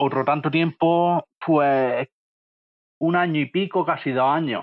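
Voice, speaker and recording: In an Andalusian accent, the speaker goes at a very slow pace with very even loudness and fairly even intonation. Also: man, fairly high pitch for a man. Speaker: manual worker, appliance installer. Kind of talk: interview answer. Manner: plain, homespun.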